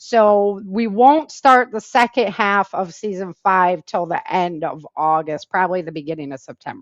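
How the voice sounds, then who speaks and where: With an American accent, a woman at medium pitch talks at a moderate pace with lively intonation, big swings in loudness and hardly any pauses, recorded dry and close with no echo against a quiet background. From Michigan, US Midwest. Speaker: author and self-defense instructor. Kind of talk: interview.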